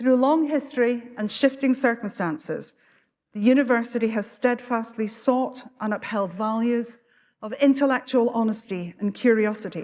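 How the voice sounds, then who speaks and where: A woman speaks in a Scottish accent at a moderate pace. Her fairly high pitch shows ordinary variation. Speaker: university official presiding at graduation. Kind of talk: ceremonial address. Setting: graduation ceremony hall with audience. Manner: formal.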